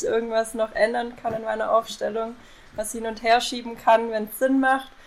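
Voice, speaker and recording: Her voice is fairly high. This woman speaks with monotone, flat intonation. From southern Germany, Lake Constance area. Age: 20s. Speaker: IT consultant. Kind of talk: casual chat. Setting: remote call from home office.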